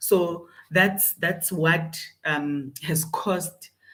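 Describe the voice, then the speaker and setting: A woman speaks with audible room echo. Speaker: leadership coach. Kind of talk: motivational talk. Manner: loud; halting with fillers.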